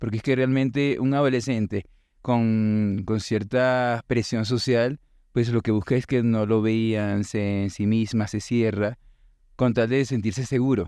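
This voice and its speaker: With a quiet background, a man's medium-pitched voice keeps a dark, mellow tone and very even loudness. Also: fairly even intonation, fairly slow pace. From Venezuela. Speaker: teacher and musician. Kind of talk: interview conversation.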